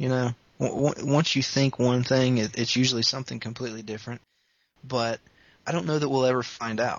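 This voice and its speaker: A man talks at a fairly quick pace with fairly even intonation in a plain, everyday voice. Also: medium pitch for a man. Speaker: podcast host. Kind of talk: casual chat.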